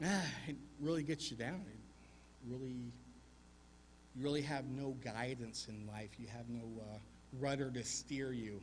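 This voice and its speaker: Speaking with an American accent in a somewhat breathy voice, this speaker uses ordinary pitch variation, leaves long, frequent pauses, and has audible room echo around them. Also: man, medium pitch for a man. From US South, Arkansas mountains. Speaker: war veteran. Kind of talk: Remembrance Day speech.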